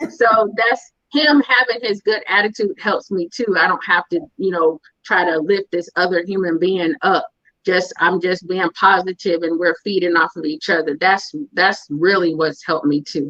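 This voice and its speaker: A plain, everyday voice with lively intonation. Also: woman, medium pitch for a woman, moderate pace. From California. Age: 40s. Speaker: guest sharing her story with her husband. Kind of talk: interview conversation.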